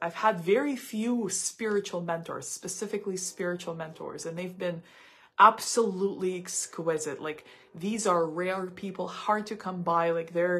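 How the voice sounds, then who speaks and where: A woman with a Russian accent, medium pitch, ordinary pitch variation and a fairly slow pace. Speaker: psychic tarot reader. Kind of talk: live stream psychic reading monologue. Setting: live stream. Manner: halting, many repetitions and fillers.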